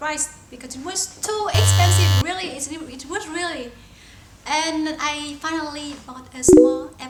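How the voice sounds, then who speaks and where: Speaking with a Vietnamese accent, a woman with a high pitch talks at a moderate pace, her loudness swinging widely and her pitch varying in an ordinary way, amid noticeable background noise and audible room echo. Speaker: talk show co-host. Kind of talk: casual chat.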